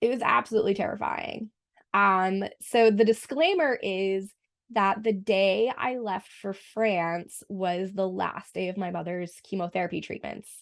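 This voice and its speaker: Against a quiet background, a woman with an American accent speaks at a fairly slow pace. Her pitch is medium, with ordinary variation. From US Northeast, Boston. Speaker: French teacher. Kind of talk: casual podcast interview.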